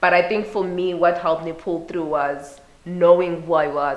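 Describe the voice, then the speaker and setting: A woman speaks at a fairly low pitch, with audible room echo around her voice. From Zimbabwe, Bulawayo. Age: 20s. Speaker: youth and women's rights advocate. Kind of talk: interview.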